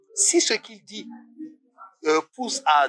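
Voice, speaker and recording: A man talks with very wide pitch swings. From Senegal. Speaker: artist and coach. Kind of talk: interview. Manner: hesitant, many fillers.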